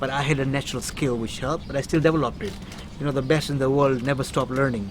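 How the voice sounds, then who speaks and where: Against noticeable background noise, a man rattles along at a very fast pace, his medium-pitched voice holding a fairly even intonation. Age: 60s. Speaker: inspirational speaker. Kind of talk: interview.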